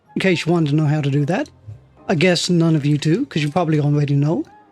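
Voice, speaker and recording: There's noticeable background noise behind this speaker. A man talks in a relaxed tone. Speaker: video game let's player. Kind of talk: casual gameplay commentary. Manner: relaxed, rambling.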